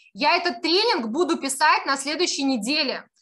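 A woman speaks at a moderate pace in a high, raised, projected voice with a bright, sharp tone. Her delivery is animated, and her intonation is lively. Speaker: online marketing course instructor. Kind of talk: live webinar presentation with sales pitch. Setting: video call.

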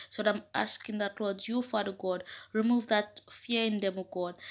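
Her intonation is monotone and flat. The woman's pitch sits fairly high. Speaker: prayer leader. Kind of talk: fervent prayer. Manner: impassioned, pleading; repetitive, rhythmic invocations. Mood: earnest, fervent. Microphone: phone near.

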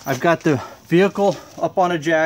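The speaker is a man whose pitch varies in an ordinary way. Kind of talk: tutorial. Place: garage. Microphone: phone near.

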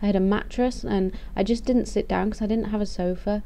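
A woman speaks at a fairly quick pace with a dark, mellow tone. Her intonation stays fairly even. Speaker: vlogger. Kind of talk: casual vlog chat. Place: home room. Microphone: webcam.

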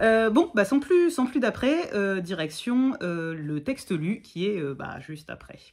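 A woman speaks very slowly in a fairly high voice with very wide pitch swings and big swings in loudness, hardly pausing, against a quiet background. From Provence, Bouches-du-Rhône (Martigues); Provence. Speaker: content creator talking about poetry. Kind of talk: casual chat. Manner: halting, many hesitations. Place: home room. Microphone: phone near.

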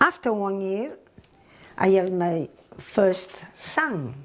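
The speaker is a woman. She talks with a strong Italian accent. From northern Italy. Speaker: immigrant recounting her life story. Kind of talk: personal testimony, oral history. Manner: halting, with broken grammar. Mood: warm, reflective. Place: kitchen. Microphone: lapel.

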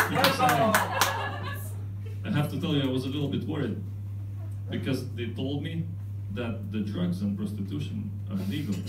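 With noticeable background noise behind him, a man speaks at a moderate pace, leaving long, frequent pauses. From Lithuania. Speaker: stand-up comedian. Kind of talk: stand-up comedy set. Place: stage.

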